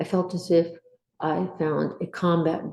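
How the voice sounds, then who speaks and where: A woman's voice with an American accent. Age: 60s. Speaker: Air Force veteran. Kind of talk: testimony.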